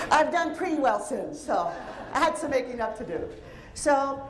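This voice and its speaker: Speaking at a moderate pace, a woman has an energetic tone. Audible room echo and noticeable background noise surround her voice. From Cuba. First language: Spanish. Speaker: psychologist and keynote speaker. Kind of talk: keynote speech. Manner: vibrant, highly energetic. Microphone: handheld mic picked up after starting without.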